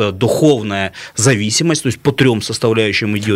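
Against noticeable background noise, a man talks at a medium pitch and a moderate pace with ordinary pitch variation. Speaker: regional politician. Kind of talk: radio talk show discussion. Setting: studio. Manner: animated.

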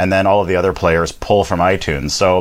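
Very clean, silent-backed audio of a man. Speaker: podcast manager and live broadcast host. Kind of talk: live streamed interview chat. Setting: Facebook Live broadcast.

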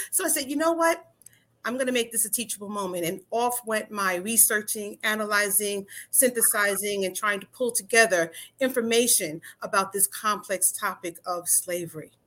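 With an American accent, a woman speaks at a moderate pace in a bright, sharp tone, her fairly high pitch varying in an ordinary way. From New York. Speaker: attorney and author. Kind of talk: interview.

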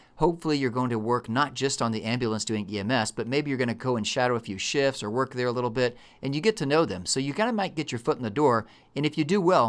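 Speaking very fast in a Texan accent, a man at medium pitch has lively intonation and an animated tone on a very clean recording with a silent background. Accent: Texan American. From Texas. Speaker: emergency medicine physician and educator. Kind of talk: casual chat.

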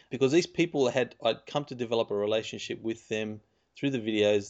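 Speaking at a moderate pace, a man uses an unremarkable speaking voice pitched in the middle range. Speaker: podcast host. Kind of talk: interview.

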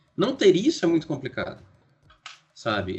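The pitch swings very widely. Music plays in the background. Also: man. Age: 40s. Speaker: writer and podcaster. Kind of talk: casual interview.

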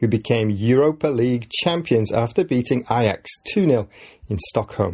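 Somewhat breathy and dark, mellow in tone, a man with an English accent speaks at a medium pitch and a moderate pace with lively intonation. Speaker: podcast host and English teacher. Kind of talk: scripted educational podcast narration. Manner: clear, measured for learners.

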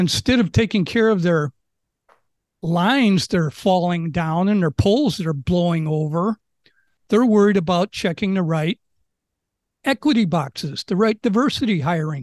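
A man's high-pitched voice with an American accent, lively intonation, a moderate pace and long, frequent pauses, in a dry, close sound with no echo over a quiet background. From Chicago, US Midwest. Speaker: local resident and social media commentator. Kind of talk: interview.

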